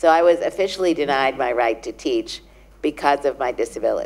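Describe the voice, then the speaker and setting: This woman speaks with a New York accent. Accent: New York American. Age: 60s. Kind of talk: conference talk. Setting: stage with audience. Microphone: handheld.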